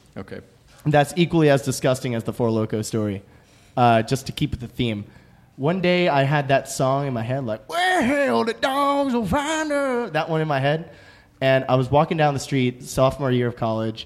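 A man with an American accent and an ordinary speaking voice, fairly high in pitch, with lively intonation at a moderate pace. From suburbs of New York City. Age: 20s. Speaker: musician. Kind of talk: casual chat. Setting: studio.

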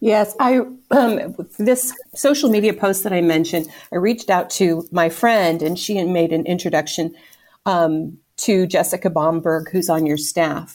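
With lively intonation, a woman speaks at a moderate pace and medium pitch in an unremarkable speaking voice. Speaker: volunteer fundraiser and home baker. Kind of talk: casual interview conversation.

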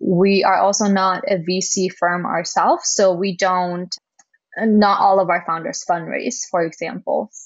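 A woman speaks with a German accent at a medium pitch. She talks at a fairly slow pace. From Germany. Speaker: community manager at a startup accelerator. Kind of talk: interview.

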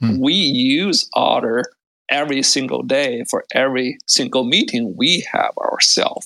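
At a fairly slow pace, a man speaks with very even loudness. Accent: non-native. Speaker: tech startup founder. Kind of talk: interview. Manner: halting, many fillers.

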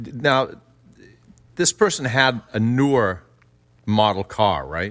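A man speaks at a very slow pace with long, frequent pauses. His medium-pitched voice has lively intonation. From Louisiana. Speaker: podcast co-host. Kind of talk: casual chat.

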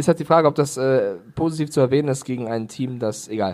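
A man's pitch is fairly high. He talks at a moderate pace. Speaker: NFL podcast co-host. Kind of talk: casual chat. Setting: remote recording over internet.

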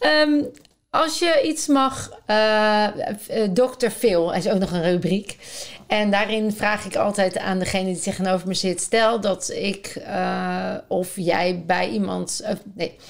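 Her intonation is lively. The woman speaks very slowly. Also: medium pitch for a woman. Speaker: podcast host. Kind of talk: in-depth interview. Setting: at guest's home. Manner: enthusiastic.

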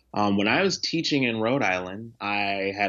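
A man's fairly low pitch with ordinary pitch variation. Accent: American. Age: 20s. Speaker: nonprofit founder and teacher. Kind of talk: interview. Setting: video call.

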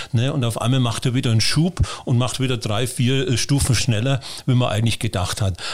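At a fairly quick pace, a man talks with a somewhat breathy, medium-pitched voice and ordinary pitch variation. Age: 60s. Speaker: fish farmer. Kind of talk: interview.

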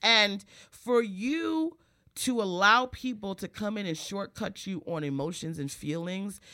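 Bright and sharp in tone, a woman sounds animated with lively intonation in a very clean recording with a silent background. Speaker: stand-up comedian. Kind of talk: casual chat.

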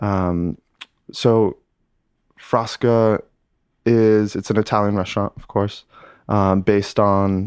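The delivery is very slow and in a monotone, flat intonation, with a dry, close sound and no echo. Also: man. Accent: American. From upstate New York, Lake Placid. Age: 20s. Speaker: sommelier. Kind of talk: interview. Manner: casual, halting with many fillers.

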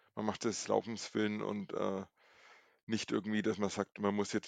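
At a moderate pace, a man speaks monotone and flat in a fairly low pitch, with a dry, close sound and no echo. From Franconia, Nuremberg. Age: 40s. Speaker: streak runner. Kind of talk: casual interview.

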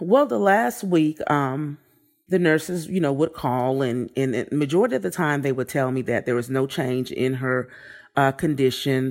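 Over a silent background in a very clean recording, a woman with an American accent speaks at a moderate pace in a very deep, low pitch with ordinary pitch variation. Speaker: bereaved mother, COVID survivor. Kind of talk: interview. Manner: loud.

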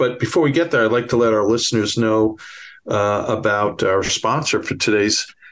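A man speaks with a Bronx accent and a fairly low pitch. His tone is fairly bright. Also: ordinary pitch variation, moderate pace. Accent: Bronx New York.

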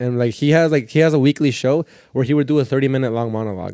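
At a very fast pace, a man speaks with a dark, mellow tone and ordinary pitch variation. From Southern California, partly raised in Mexico. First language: Spanish. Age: 20s. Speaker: stand-up comedian. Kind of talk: casual chat. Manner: fast talker.

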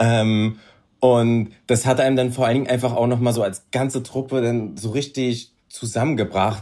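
Delivered at a moderate pace, the voice has a dark, mellow tone and monotone, flat intonation in a very clean recording with a silent background. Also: man, medium pitch for a man. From Berlin, Germany. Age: 30s. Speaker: reality TV contestant. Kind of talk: casual chat.

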